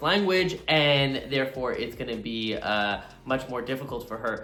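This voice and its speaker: Medium-pitched male voice with ordinary pitch variation, music in the background and audible room echo. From Quebec. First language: Italian. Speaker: drag competitor. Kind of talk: confessional interview.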